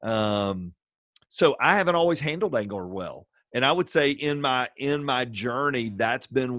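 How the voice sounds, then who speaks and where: This is a man with a normal speaking voice. He talks at a moderate pace with lively intonation. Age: 50s. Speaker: pastor and assistant high school baseball coach. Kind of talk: casual interview.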